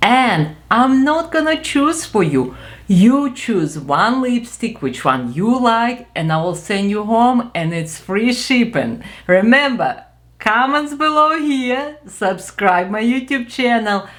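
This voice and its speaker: A woman with a Ukrainian accent, fairly high-pitched, with very wide pitch swings and a very slow pace. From Ukraine. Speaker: beauty vlogger. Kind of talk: product review. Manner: animated.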